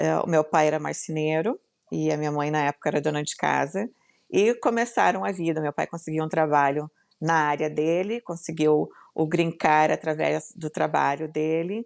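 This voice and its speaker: A woman in a southern Brazilian accent speaks at a very deep, low pitch with ordinary pitch variation and a moderate pace. The recording is very clean with a silent background and a dry, close sound with no echo. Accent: gaúcho Brazilian Portuguese. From southern Brazil, Rio Grande do Sul. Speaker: entrepreneur and business mentor. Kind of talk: podcast interview.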